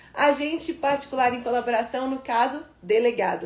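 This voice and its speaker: Noticeable background noise and audible room echo surround this recording. A woman talks in an animated tone at a high pitch. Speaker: law teacher for civil service exams. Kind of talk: live online lecture. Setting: livestream. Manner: fast.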